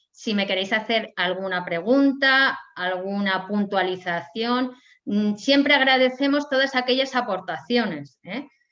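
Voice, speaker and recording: Fairly slow speech from a woman with a fairly high pitch, bright, sharp tone and lively intonation, quiet background. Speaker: historian and lecturer. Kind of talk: lecture.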